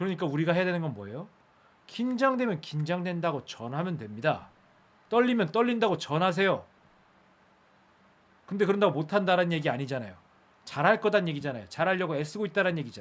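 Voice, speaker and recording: In audible room echo, a man with a high pitch and an animated tone talks at a very fast pace, with very wide pitch swings and long, frequent pauses. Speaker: speech coach. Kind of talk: live-streamed lecture. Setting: live stream.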